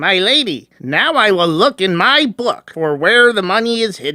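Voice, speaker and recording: Using a put-on character voice, a man talks high at a moderate pace with very wide pitch swings. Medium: audio drama. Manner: simple, polite.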